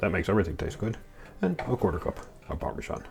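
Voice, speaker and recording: At a fairly quick speed, the speaker delivers words in a somewhat breathy voice. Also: man. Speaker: cooking channel host. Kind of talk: cooking tutorial. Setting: home kitchen. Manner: casual, chatty.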